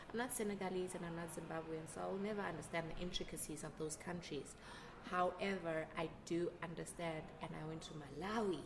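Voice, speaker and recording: A woman at a fairly low pitch and a fairly quick pace, with audible room echo and noticeable background noise. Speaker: artist. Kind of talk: interview. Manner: animated.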